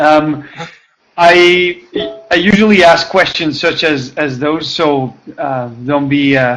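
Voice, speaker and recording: A man with a French accent speaks at a very slow pace and a fairly high pitch. Music plays in the background. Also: ordinary pitch variation. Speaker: audience member asking a question. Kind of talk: online Q&A question. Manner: hesitant, many fillers.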